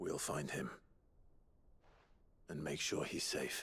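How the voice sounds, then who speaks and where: Speaking fairly slowly, a man performs a character. The put-on voice he uses is raspy. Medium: video game. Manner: earnest, calm.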